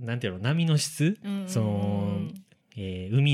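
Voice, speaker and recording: This man has medium pitch and very wide pitch swings. He keeps a moderate pace. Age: 20s. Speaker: podcast co-host. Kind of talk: casual chat.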